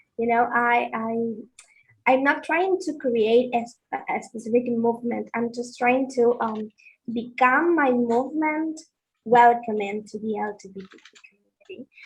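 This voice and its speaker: At a fairly slow pace, a woman talks in a high voice with big swings in loudness. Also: ordinary pitch variation. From Argentina. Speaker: participant in online discussion. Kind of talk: casual discussion. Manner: halting.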